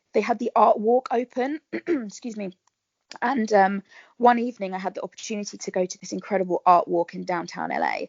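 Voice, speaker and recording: A woman speaks at a fairly quick pace in a southern English accent. Her loudness takes big swings. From southern England, Berkshire. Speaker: actress. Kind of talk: casual interview chat.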